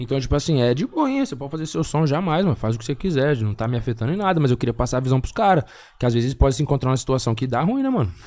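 A man talks very fast with lively intonation. His medium-pitched voice has a dark, mellow tone. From Paraná, Brazil (Biporã, near Londrina). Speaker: rapper. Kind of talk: casual chat.

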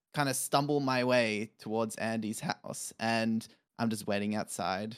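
A man with a plain, everyday voice at medium pitch, ordinary pitch variation and a moderate pace, in a very clean recording with a silent background. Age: 20s. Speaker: software developer. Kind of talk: casual chat.

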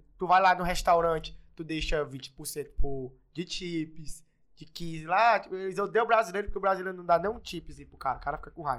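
A high-pitched man talks at a moderate pace with hardly any pauses. His pitch variation is ordinary, and his loudness swings widely. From Brazil, Maranhão (Imperatriz). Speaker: businessman and digital influencer. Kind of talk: casual interview chat.

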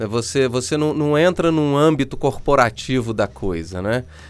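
At a medium pitch, a man speaks with lively intonation. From Minas Gerais, Brazil (São João del Rei). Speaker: podcast host and producer. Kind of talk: casual interview.

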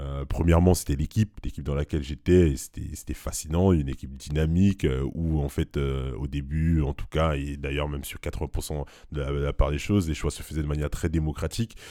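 Against a very clean recording with a silent background, a man with a very deep, low pitch and a dark, mellow tone talks at a fairly quick pace with hardly any pauses and fairly even intonation. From Cameroon, moved to France at about 12. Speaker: business school student and former engineer. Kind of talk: interview. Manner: hesitant, many fillers and repeats.

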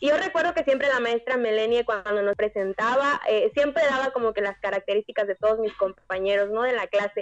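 With a fairly high pitch and lively intonation, a woman speaks at a fairly quick pace with hardly any pauses. She has an unremarkable speaking voice, and the sound is dry and close with no echo. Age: 20s. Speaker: church youth leader. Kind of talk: casual chat.

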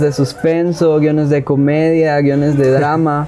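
With audible room echo and noticeable background noise, a man speaks at a fairly high pitch and a fairly slow pace. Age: 20s. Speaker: independent filmmaker. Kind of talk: casual interview.

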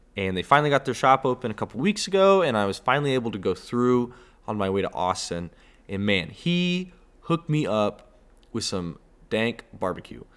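A man with a Texan accent and very wide pitch swings, on a very clean recording with a silent background. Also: medium pitch for a man. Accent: Texan (US Southern) English. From Texas. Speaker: podcast host. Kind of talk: casual solo monologue. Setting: indoors, home recording spot. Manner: halting, many fillers. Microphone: solo close to microphone, new headphones.

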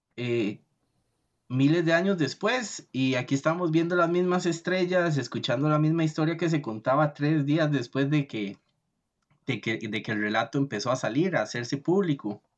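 Someone talks at a moderate pace against a quiet background. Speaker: podcast host. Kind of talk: podcast interview.

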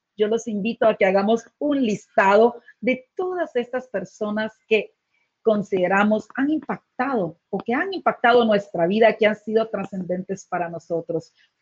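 The woman talks fairly slowly in a somewhat breathy voice, her intonation lively. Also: fairly high pitch for a woman. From Guatemala. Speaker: leadership coach and co-host. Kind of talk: live webcast talk.

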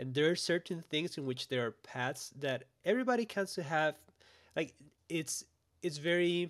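Speaking at a moderate pace with ordinary pitch variation, a man talks in a Spanish accent. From Costa Rica. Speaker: graphic recording artist. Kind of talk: casual interview chat.

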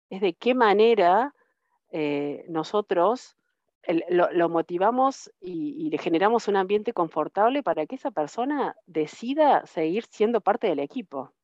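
At a fairly slow pace, a woman speaks at a medium pitch. Her pitch moves in very wide swings. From Argentina, Río Tercero, Córdoba province. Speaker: IT systems manager. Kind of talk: interview. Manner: halting, many repetitions and fillers.

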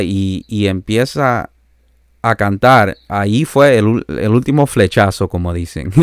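Recorded dry and close with no echo, a man speaks at a fairly low pitch. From Canada, born in El Salvador. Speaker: pastor and itinerant preacher. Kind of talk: interview, personal testimony. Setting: remote call.

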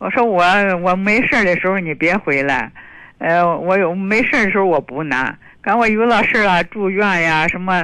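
A woman's medium-pitched voice carries a bright, sharp tone. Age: 70s. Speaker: caller. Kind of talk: phone-in conversation. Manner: halting.

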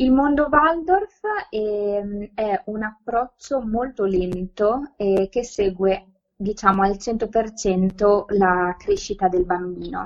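A woman speaks very slowly at a medium pitch. Her pitch varies in an ordinary way. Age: 20s. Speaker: educator, learning disorders specialist. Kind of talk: podcast interview. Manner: halting, many repetitions and fillers.

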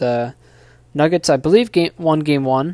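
At a moderate pace, the voice has a dark, mellow tone in a dry, close sound with no echo. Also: man. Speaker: sports podcast host. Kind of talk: solo sports podcast monologue. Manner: filler-heavy, halting.

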